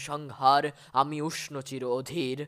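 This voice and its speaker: A man speaks in a passionate tone on a very clean recording with a silent background. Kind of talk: poetry reading. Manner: passionate, fiery.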